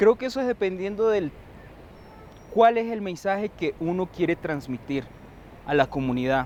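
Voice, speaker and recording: A man speaks at a moderate pace in a high voice, his pitch swinging very widely. He leaves long pauses often. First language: Wayuunaiki (speaking Spanish). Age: young. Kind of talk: TV interview.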